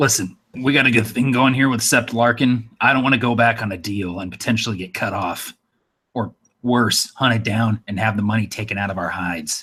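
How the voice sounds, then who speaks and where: Putting on a raspy character voice, a man speaks at a medium pitch and a fairly quick pace with ordinary pitch variation. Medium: actual play.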